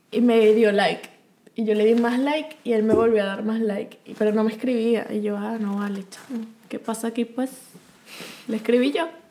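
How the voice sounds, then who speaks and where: A woman speaks at a fairly high pitch and a moderate pace with fairly even intonation. Her loudness swings widely over noticeable background noise. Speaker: podcast co-host. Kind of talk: casual chat.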